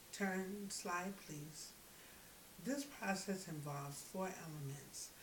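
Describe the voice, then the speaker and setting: With an American accent and a fairly low pitch, a woman talks at a fairly slow pace amid noticeable background noise and audible room echo. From US. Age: 40s. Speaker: graduate student. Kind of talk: class presentation. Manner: halting.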